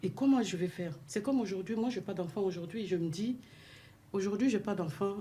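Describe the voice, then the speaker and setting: At a fairly quick clip, the speech comes out somewhat breathy, its pitch varying in an ordinary way. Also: woman, medium pitch for a woman. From sub-Saharan Africa. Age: 40s. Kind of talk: radio discussion.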